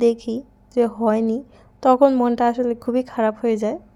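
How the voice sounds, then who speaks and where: The woman speaking has a high pitch. Her intonation is fairly even. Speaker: lifestyle vlogger. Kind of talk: cooking vlog narration. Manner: casual.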